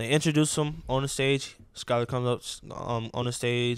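An unremarkable speaking voice with fairly even intonation and a moderate pace. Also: man. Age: 20s. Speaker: musician. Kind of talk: casual chat.

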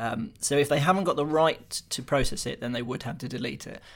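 Heard in a very clean recording with a silent background, a man with vocal fry and a fairly high pitch talks at a fairly quick pace. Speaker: tech journalist. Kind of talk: casual chat.

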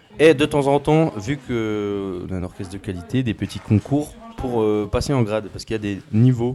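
A man at a medium pitch and moderate pace, with ordinary pitch variation and music in the background. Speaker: engineering student. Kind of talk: casual chat.

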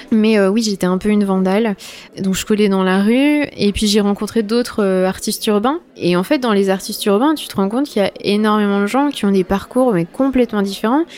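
Noticeable background noise sits under a woman speaking at a medium pitch with ordinary pitch variation. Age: 20s. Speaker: visual artist. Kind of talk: casual interview. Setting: studio set up as a bar.

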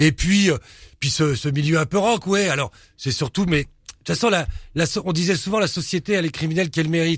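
A man's somewhat breathy voice at a fairly quick pace, on a very clean recording with a silent background. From Paris suburbs, Pantin (Seine-Saint-Denis). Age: 50s. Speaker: crime and tattoo author. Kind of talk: casual interview.

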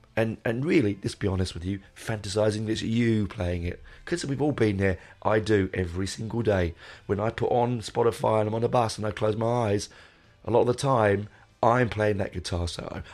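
A man with a London accent speaks at a fairly quick pace. His voice is fairly low, with ordinary pitch variation. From London, England. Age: 40s. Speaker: podcast host, music fan. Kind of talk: casual monologue. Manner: rambling, hesitant.

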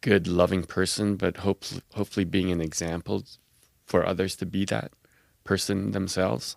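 Very deep and low, a man's voice comes with fairly even intonation on a very clean recording with a silent background and a dry, close sound with no echo. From Quebec City, Canada. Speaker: blood cancer survivor and registry advocate. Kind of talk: interview.

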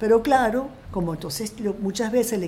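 Noticeable background noise behind a woman's medium pitch. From Venezuela (Coro family). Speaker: film director. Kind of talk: interview.

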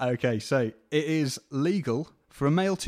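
Pitched fairly high for a man, a normal speaking voice shows ordinary pitch variation. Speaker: podcast host. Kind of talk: casual interview chat.

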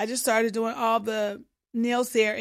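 In a very clean recording with a silent background, a woman with an American accent speaks at a moderate pace in an ordinary speaking voice. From Illinois, US Midwest. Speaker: pedicurist and beauty brand founder. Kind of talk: interview. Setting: studio.

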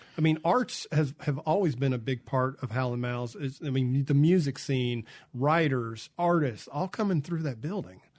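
A man speaks with a Mississippi accent at a moderate pace. His pitch is fairly high, with ordinary variation. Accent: US Southern (Mississippi). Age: 50s. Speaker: radio host. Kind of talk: radio interview. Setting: radio studio. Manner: casual.

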